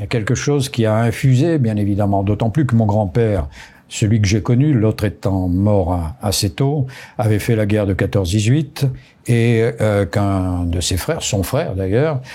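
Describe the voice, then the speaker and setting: Lively intonation marks this man's speech, delivered at a fairly low pitch and a moderate pace. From southern France, Pyrénées-Orientales (Roussillon), raised largely abroad. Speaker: retired army general. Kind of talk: interview. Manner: halting, many hesitations.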